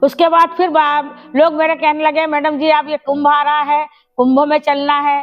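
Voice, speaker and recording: A woman's high-pitched voice. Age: 70s. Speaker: retired teacher and community organizer. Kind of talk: personal life story interview.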